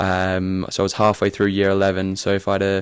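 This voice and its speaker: A man at a fairly quick pace with a fairly low pitch. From Australia, Brisbane. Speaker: football goalkeeper. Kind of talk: casual podcast interview.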